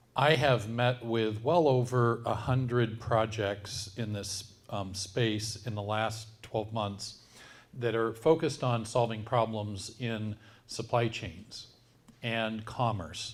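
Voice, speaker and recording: The pace of this man's speech is very slow. His voice sits at a medium pitch with fairly even intonation. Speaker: tech company CEO. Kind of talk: presentation. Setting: event with live audience. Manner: loud.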